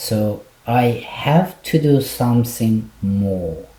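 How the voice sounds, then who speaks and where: A man's medium-pitched voice with an Iranian accent and ordinary pitch variation. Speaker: clinical psychologist. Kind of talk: interview.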